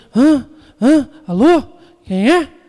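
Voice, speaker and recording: The speaker uses a put-on character voice. It sits at a high pitch. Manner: confused.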